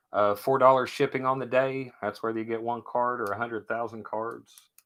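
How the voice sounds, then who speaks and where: With a strong Kentucky accent, the speaker goes at a fairly quick pace in a monotone, flat intonation. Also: man, medium pitch for a man. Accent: thick Kentucky. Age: 40s. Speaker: sports card seller. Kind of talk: live stream sale. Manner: casual, chatty.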